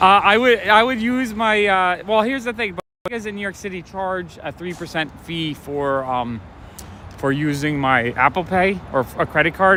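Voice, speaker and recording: There is noticeable background noise as a man talks at a moderate pace. His voice is high-pitched with lively intonation. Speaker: comic shop owner and livestreamer. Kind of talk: casual livestream talk while walking. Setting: outdoors. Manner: soft-spoken.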